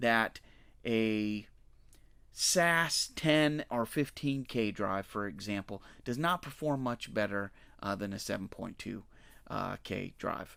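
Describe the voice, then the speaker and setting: On a very clean recording with a silent background, a man uses a plain, everyday voice, medium in pitch and lively in intonation. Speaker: data analytics presenter. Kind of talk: technical explanation to camera, whiteboard tutorial. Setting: voice-over to screen drawing. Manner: casual, conversational, with frequent fillers.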